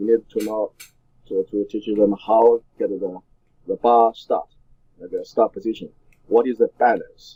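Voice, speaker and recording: A man with a Chinese accent speaks at a fairly slow pace with long, frequent pauses. His loudness swings widely in a dry, close sound with no echo. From China. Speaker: weightlifting coach and former Olympian. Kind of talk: interview. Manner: halting, many fillers.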